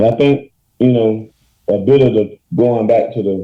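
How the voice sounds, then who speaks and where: In an American accent, a man speaks at a moderate pace and a medium pitch. His intonation is fairly even. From US South, rural Georgia. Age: 20s. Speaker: blues musician. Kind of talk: podcast interview. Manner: casual, halting with repetitions.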